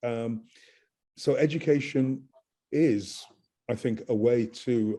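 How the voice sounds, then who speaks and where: A man speaks at a medium pitch in a dark, mellow tone. His pace is very slow, broken by long, frequent pauses. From England. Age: 60s. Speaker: professor. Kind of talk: lecture; interview answer. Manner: emphatic.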